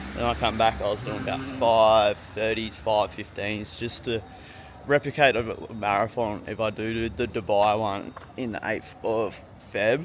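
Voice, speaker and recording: Medium in pitch with ordinary variation, a man speaks at a fairly slow pace with an Australian accent. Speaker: fitness vlogger. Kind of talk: casual vlog talk to camera.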